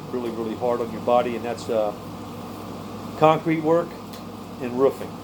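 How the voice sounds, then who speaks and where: Over noticeable background noise, a man talks fairly quickly with fairly even intonation. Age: 60s. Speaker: prepper vlogger and tree cutter. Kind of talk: casual vlog monologue. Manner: halting, with many repeated words.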